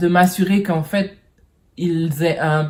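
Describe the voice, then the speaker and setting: This woman talks at a very slow pace with a fairly low pitch. Her voice is somewhat breathy. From French Caribbean. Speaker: vlogger. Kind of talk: personal vlog monologue. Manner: halting, many hesitations.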